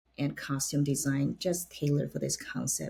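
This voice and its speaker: Somewhat breathy, a woman with a very deep, low pitch speaks at a moderate pace. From China. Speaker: opera stage director. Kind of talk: interview.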